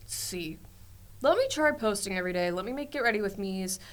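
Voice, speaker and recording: A woman speaks at a very fast pace. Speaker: social media influencer. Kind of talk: casual chat.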